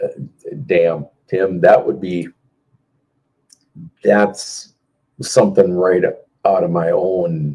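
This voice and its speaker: A man with an American accent speaks at a very slow pace, with long, frequent pauses. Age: 50s. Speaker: car audio competitor and live stream host. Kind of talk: casual live stream chat answering viewer comments. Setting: Facebook live video stream.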